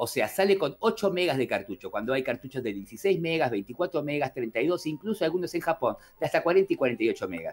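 With an Argentine accent and some vocal fry, a man with a fairly high pitch talks at a moderate pace with hardly any pauses and very wide pitch swings. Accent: Argentine Spanish (rioplatense voseo). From Argentina. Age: 40s. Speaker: gaming youtuber. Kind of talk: casual chat.

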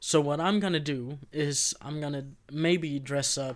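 A man's fairly high voice in a Swedish accent, with fairly even intonation, on a very clean recording with a silent background. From Sweden. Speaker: podcast co-host. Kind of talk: casual chat.

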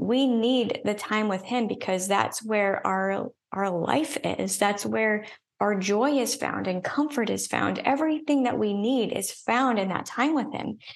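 A woman speaks in an ordinary speaking voice at a fairly slow pace. Her pitch variation is ordinary. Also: fairly high pitch for a woman. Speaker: author and business coach. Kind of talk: casual interview conversation.

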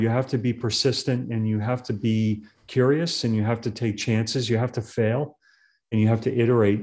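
A man with an American accent and a normal speaking voice talks at medium pitch and a fairly quick pace, his intonation fairly even over a quiet background. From Massachusetts. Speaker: tech executive. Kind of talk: interview.

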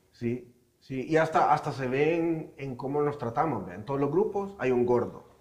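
Amid audible room echo, a man with a fairly high pitch speaks with big swings in loudness. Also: ordinary pitch variation, moderate pace. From foreign to the region. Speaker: podcast co-host. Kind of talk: casual chat.

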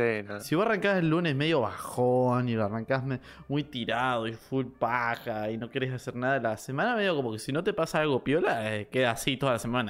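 Ordinary pitch variation and a fairly quick pace, in a Rioplatense accent. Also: man, medium pitch for a man. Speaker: podcast co-host. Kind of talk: casual chat.

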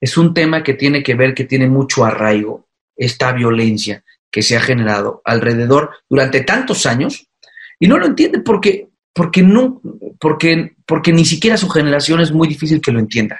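A fairly high-pitched, somewhat breathy male voice with very wide pitch swings. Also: moderate pace. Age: 30s. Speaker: mayor. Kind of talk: interview. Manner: halting.

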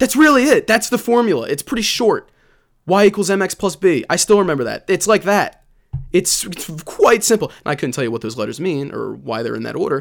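The man speaks fairly quickly in a high, animated voice. His pitch swings very widely. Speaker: solo sports podcast host. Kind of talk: solo podcast monologue. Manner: fast.

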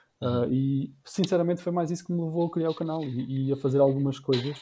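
Somewhat breathy, with a dark, mellow tone, a man talks at a fairly quick pace and fairly high pitch with fairly even intonation. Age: 30s. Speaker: YouTuber and entrepreneur. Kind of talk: casual chat.

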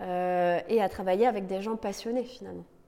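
Fairly even intonation and a dark, mellow tone from a woman. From Lorraine, France. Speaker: entrepreneur, co-founder. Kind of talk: interview. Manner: halting, many repetitions and fillers.

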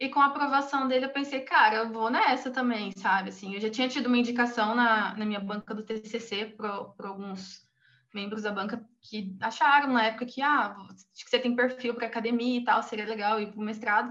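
A woman's high-pitched, bright, sharp voice at a fairly quick pace, with big swings in loudness. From Brazil, Cuiabá. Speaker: human rights researcher. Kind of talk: interview.

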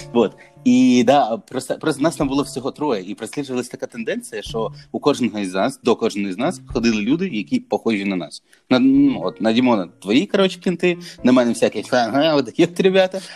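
Talking at a fairly quick pace, a man with a medium-pitched voice uses lively intonation. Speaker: barber. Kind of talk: casual chat. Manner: casual, filler-heavy.

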